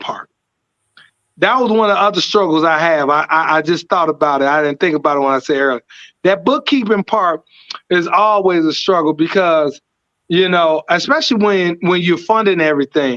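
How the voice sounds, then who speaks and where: A man speaks at a high pitch with lively intonation and a bright, sharp tone. His pace is moderate and his loudness very even. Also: dry, close sound with no echo. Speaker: whiskey distillery founder. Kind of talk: interview. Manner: energetic.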